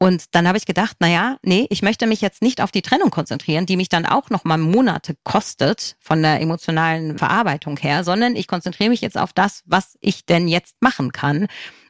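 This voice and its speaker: Her voice is an unremarkable speaking voice at medium pitch, with ordinary pitch variation. The woman talks at a fairly quick pace with hardly any pauses, in a dry, close sound with no echo. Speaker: single mother by choice. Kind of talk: interview.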